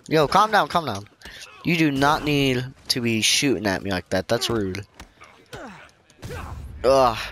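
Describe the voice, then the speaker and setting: Against noticeable background noise, a man speaks with lively intonation and long, frequent pauses. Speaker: gaming YouTuber. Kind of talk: let's play commentary. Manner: quiet.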